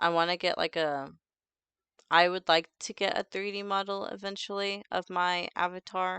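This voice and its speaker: The sound is dry and close with no echo, over a quiet background. A woman speaks at a moderate pace in a bright, sharp tone with fairly even intonation. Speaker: vtuber streamer. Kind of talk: casual livestream chat.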